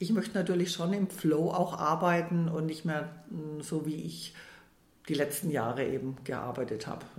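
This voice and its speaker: A woman's very deep, low voice comes through with audible room echo and noticeable background noise. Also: ordinary pitch variation, moderate pace. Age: 60s. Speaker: financial adviser turned money coach. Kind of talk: casual interview. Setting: in person at the host's office.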